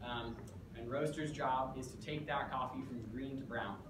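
Noticeable background noise sits behind speech delivered at a moderate pace. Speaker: presenter. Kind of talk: lecture. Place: classroom. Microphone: camera far.

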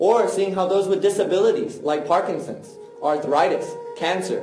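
A high-pitched man's voice at a moderate pace, over clear music in the background. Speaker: martial arts teacher. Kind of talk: public talk. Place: stage.

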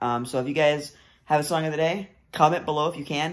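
The man's voice keeps a fairly even intonation. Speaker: vlogger. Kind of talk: casual vlog chat. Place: home room. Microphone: phone near.

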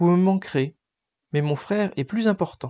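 Delivered at a fairly slow pace against a quiet background, the voice has a gentle, soothing tone. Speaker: bedtime story narrator. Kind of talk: bedtime story reading aloud, children's story. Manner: gentle, soothing, slow storytelling pace.

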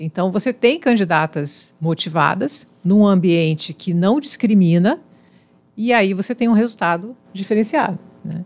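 A woman talks in an ordinary speaking voice at medium pitch. Her pace is fairly slow and her intonation lively. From Espírito Santo, Brazil. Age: 50s. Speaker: civil engineer and university professor; university professor. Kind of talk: casual chat; interview answer. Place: studio. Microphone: studio mic.

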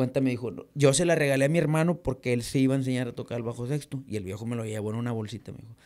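A man at a very fast pace with hardly any pauses, ordinary pitch variation and big swings in loudness, against a quiet background. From Reynosa, Tamaulipas, Mexico; Tamaulipas, Mexico. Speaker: norteño musician; podcast guest. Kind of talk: casual interview. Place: studio. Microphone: studio mic.

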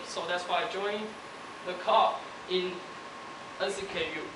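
Noticeable background noise sits behind a man speaking at a fairly slow pace. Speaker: university student. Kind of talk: speech. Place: hall.

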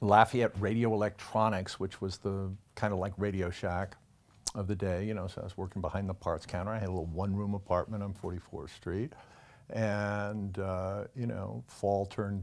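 This man speaks in a fairly low voice at a moderate pace, keeping his intonation fairly even. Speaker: television interviewee. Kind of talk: interview answer. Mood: relaxed, wry, amused. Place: home room. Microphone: lapel.

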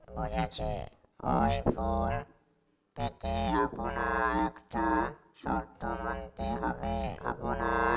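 Using a cartoonish character voice, a man speaks at a very slow pace with a very deep, low pitch. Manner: haughty, commanding.

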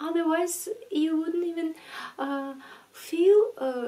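Speaking at a fairly slow pace, a woman is soft-spoken. Her tone is gentle. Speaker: ASMR creator. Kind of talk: ASMR talk to camera about addiction. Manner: soft-spoken, gentle, relaxing. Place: home room.

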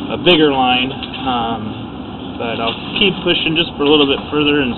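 Loud background noise runs under this recording. A man talks at a moderate pace with ordinary pitch variation. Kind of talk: work commentary for a client.

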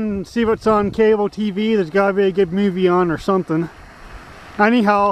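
Delivered at a fairly quick pace, the speech has a dry sound with no echo. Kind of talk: casual vlog chat. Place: open country. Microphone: old recording.

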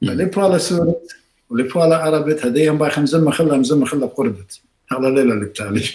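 Speaking at a very fast pace, a man has a fairly high pitch and lively intonation. His tone is dark and mellow, and somewhat breathy. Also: quiet background. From Iraq. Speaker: surgeon and professor; professor. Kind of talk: interview. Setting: video call. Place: home room.

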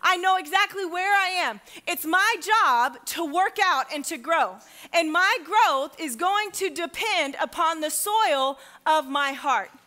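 At a fairly slow pace, a woman projects a raised voice with a bright, sharp tone over a quiet background. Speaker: pastor. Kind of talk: sermon. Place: church.

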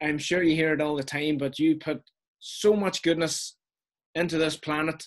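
Set against a quiet background, the voice has a Donegal accent, fairly even intonation and a moderate pace. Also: man. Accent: Irish, Donegal. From northwest Ireland, Donegal. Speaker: interview guest, wedding photographer. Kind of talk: interview answer. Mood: warm, grateful, chatty. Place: home room. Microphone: video call.

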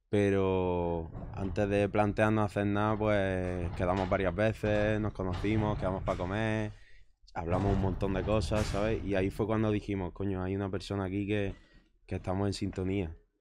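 The speech is monotone and flat at a moderate pace, with light background noise. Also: man, fairly low pitch for a man. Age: 20s. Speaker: musician; guest. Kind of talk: casual chat. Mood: relaxed, conversational. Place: shop. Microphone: studio mic.

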